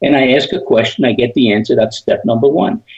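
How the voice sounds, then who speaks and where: Talking at a fairly quick pace, this man has a non-native accent. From Europe, emigrated to US as teen. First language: not English. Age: 80s+. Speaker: sales trainer. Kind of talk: interview.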